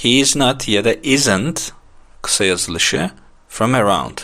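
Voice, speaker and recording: On a very clean recording with a silent background, a man at a medium pitch speaks at a very slow pace with lively intonation. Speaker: English teacher. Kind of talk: tutorial.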